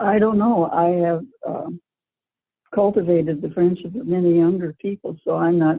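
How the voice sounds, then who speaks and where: In an ordinary speaking voice, a woman with a fairly low pitch talks at a moderate pace with ordinary pitch variation. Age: 60s. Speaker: children's book author, former teacher and nurse. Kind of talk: interview answer.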